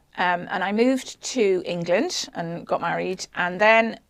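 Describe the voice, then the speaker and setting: This woman's voice has a medium pitch and vocal fry. Her pitch varies in an ordinary way. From south of Ireland. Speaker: church lay reader and former nurse. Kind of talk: testimony. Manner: halting.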